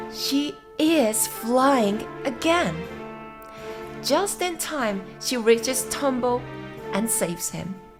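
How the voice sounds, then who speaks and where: With music in the background, a soft-spoken woman talks in a gentle, calm tone. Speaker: English teacher. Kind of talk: gentle read-aloud of a story summary for sleep and listening practice. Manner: gentle, soft, calm.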